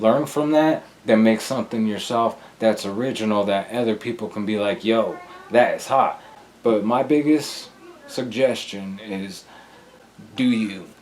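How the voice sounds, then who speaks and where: Over noticeable background noise, a man talks at a fairly slow pace with long, frequent pauses and ordinary pitch variation. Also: medium pitch for a man. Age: 30s. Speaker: rapper. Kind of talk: interview.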